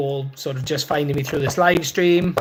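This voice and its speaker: Here a man is speaking. He talks in a Welsh accent. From Wales. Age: 30s. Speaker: motorbike and car YouTuber. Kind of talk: live stream chat reading viewer comments. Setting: live stream from workshop. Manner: casual, hesitant with many fillers.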